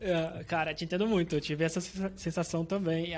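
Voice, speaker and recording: High-pitched, a man talks at a fairly quick pace. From Brazil, Santos. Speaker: podcast host. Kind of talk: casual chat.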